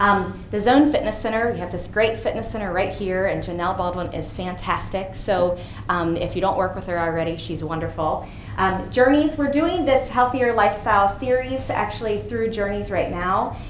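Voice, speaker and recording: Amid noticeable background noise and audible room echo, a woman speaks at a medium pitch with lively intonation. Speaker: physician giving a health talk. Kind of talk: presentation to an audience. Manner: fast.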